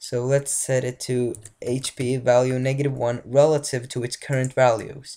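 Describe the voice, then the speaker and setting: Speaking with a non-native accent, this person moves along at a moderate pace. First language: not English. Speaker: game development tutorial maker. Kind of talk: tutorial. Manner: halting, many fillers and restarts.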